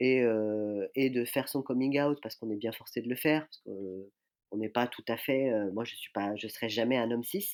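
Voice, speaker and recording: Captured in a very clean recording with a silent background, a man speaks at a medium pitch with fairly even intonation. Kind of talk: podcast interview. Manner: hesitant, many fillers.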